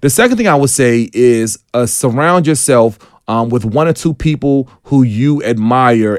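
A man speaks with an American accent in an enthusiastic tone. His pitch varies in an ordinary way. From Washington DC. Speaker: tech entrepreneur. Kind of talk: radio interview. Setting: radio studio.

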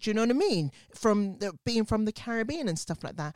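A woman with a British accent speaks at medium pitch with very wide pitch swings. The recording is very clean with a silent background and a dry, close sound with no echo. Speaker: podcast host. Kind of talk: casual chat.

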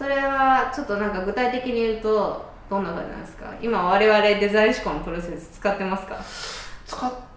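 A woman with a fairly high pitch speaks at a moderate pace with hardly any pauses and ordinary pitch variation. Her loudness swings widely over noticeable background noise. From Kansai. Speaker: podcast host. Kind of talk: casual chat.

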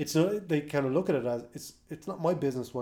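In an Irish accent, the speaker talks at a fairly quick pace with a dark, mellow tone. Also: man. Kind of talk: casual chat.

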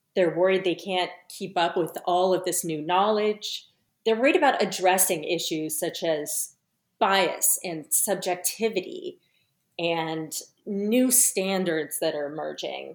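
A woman with an American accent speaks at a fairly slow pace in a medium pitch, her pitch varying in an ordinary way, on a very clean recording with a silent background. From US West Coast, San Francisco. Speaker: forensic scientist and author. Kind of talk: interview.

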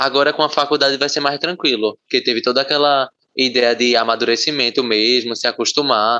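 A normal speaking voice at a fairly quick pace, its intonation fairly even. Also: man. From Pernambuco, Brazil (Camaragibe). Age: young. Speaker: university student. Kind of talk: casual interview.

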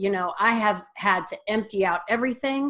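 A woman with an American accent, moderate in pace, with lively intonation. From US Midwest, northeast Ohio. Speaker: wellness coach. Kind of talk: interview. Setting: video call.

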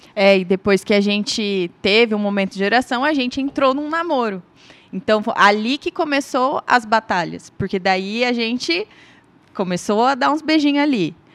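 Here is a woman with a plain, everyday voice, fairly high in pitch and lively in intonation. She speaks at a moderate pace in a very clean recording with a silent background. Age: 30s. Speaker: industrial manager. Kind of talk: testimony.

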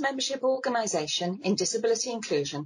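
A woman's fairly high voice with vocal fry at a very fast pace. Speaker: podcast co-host. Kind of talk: casual interview.

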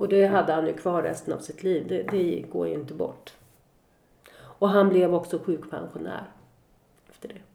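A woman speaks at a moderate pace, her loudness rising and falling sharply. She leaves long pauses, and they come often. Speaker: bereaved mother. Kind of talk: testimony. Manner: reading aloud.

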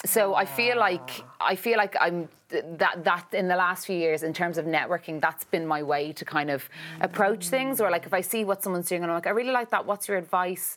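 Fairly quick delivery in an ordinary speaking voice, pitch varying in an ordinary way. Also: woman, medium pitch for a woman. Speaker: actress and writer. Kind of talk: casual interview chat. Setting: studio.

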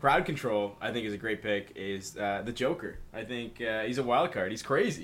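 A man speaks at a moderate pace with a medium pitch, ordinary pitch variation and hardly any pauses, in an ordinary speaking voice. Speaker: guest. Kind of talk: casual chat.

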